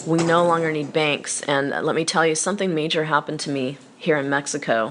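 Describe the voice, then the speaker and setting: Over noticeable background noise, a woman with an American accent speaks in a very deep, low voice with fairly even intonation. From United States. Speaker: online financial activist / vlogger. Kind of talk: casual video monologue.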